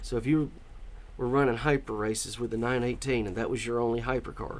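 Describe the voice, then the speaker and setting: Speaking very fast, a man keeps a medium pitch. His intonation is monotone and flat. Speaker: gaming commentator. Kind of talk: casual gameplay commentary.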